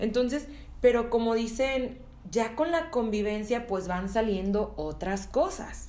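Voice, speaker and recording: A woman with a fairly high pitch speaks at a very slow pace, her intonation lively. Audible room echo and noticeable background noise surround her. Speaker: podcast co-host. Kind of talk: casual chat.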